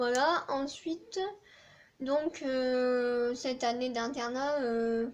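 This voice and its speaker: Speaking in a southern French accent, a woman uses a high pitch and fairly even intonation. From southern France. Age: 20s. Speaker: student vlogger. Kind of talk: casual chat. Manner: hesitant, many fillers.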